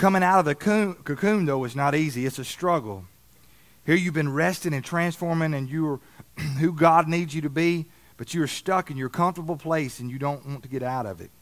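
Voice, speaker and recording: This man speaks with a Southern US accent at a fairly high pitch. The recording is very clean, with a silent background. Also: ordinary pitch variation, fairly quick pace. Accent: Southern US, noticeable. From Alabama. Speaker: preacher. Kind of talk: sermon. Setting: church service with audience.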